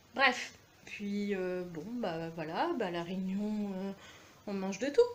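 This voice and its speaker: A woman at a medium pitch, very slow, with big swings in loudness, ordinary pitch variation and audible room echo. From France, Aveyron (Millau). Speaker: video blogger. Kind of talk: rant to camera. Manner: animated.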